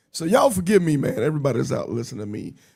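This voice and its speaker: A man's fairly high voice, very fast, with vocal fry. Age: 50s. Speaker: podcast host and motorcycle ride organizer. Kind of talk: casual interview chat. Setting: live stream.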